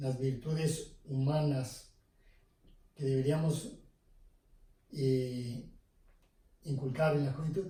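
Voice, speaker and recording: A man with a fairly high pitch and a dark, mellow tone speaks at a very slow pace. His voice is somewhat breathy, with audible room echo. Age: 70s. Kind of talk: interview. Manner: hesitant with fillers.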